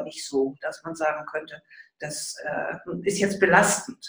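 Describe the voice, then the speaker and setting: A woman's somewhat breathy voice. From Munich, Bavaria. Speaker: mother of the host, homemaker. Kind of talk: interview, casual chat.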